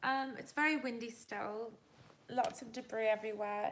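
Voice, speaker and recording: In a relaxed tone, a woman speaks at a fairly high pitch. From Canada and England. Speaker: livestreamer. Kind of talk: casual chat. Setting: livestream during power outage, candlelit. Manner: relaxed, chatty.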